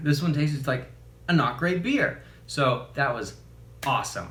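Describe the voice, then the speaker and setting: A man's fairly high, bright and sharp voice, animated in tone, at a moderate pace with audible room echo. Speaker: youtuber reviewing beers. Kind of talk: casual product review vlog.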